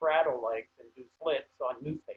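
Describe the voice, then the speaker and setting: Speaking very slowly with an American accent, a man uses a fairly high pitch and ordinary pitch variation. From Pennsylvania. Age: 70s. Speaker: hobby farmer. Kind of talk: slide presentation.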